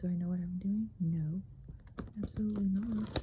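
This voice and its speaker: This soft-spoken voice moves along at a moderate pace. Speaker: tarot hobbyist vlogger. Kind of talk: casual vlog. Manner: halting, filler-heavy.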